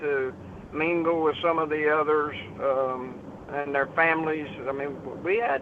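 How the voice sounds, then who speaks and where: A man with an American accent, fairly high in pitch, with fairly even intonation at a fairly slow pace, over noticeable background noise. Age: 60s. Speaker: city council member. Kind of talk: interview. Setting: studio. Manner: halting.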